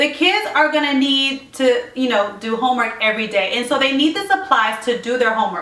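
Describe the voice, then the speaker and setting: A woman uses a raised, projected voice at a high pitch with lively intonation. Room echo can be heard. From Puerto Rico. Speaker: lifestyle vlogger. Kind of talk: casual tutorial vlog. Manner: fast.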